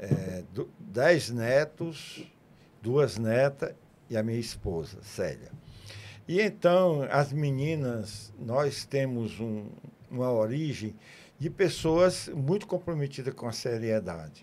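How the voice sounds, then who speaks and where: At a very slow pace, a man speaks at a medium pitch with very wide pitch swings. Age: 80s+. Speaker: physician and businessman. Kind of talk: interview. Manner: halting.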